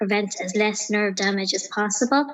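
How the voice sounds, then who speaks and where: A woman talks with an Irish accent. Her pitch is medium. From Ireland, County Clare. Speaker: empowerment coach. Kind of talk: interview. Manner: soft-spoken.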